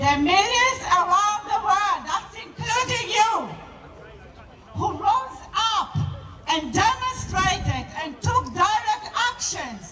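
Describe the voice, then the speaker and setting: A woman with an extremely high pitch speaks at a very slow pace in a raised, projected voice over noticeable background noise. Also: lively intonation. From Israel. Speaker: activist. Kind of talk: protest speech. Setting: outdoors.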